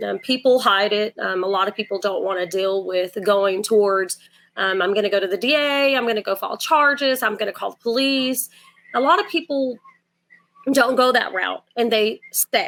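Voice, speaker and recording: This woman has a Southern accent and a fairly high pitch. She speaks at a moderate pace with lively intonation. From Port Arthur, Texas (born Puerto Rico). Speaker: domestic violence advocate. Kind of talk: interview. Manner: halting, many fillers.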